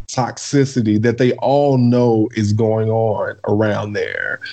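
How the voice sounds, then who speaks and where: A man speaks at a very slow pace. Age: 30s. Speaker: podcast guest. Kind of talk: casual chat.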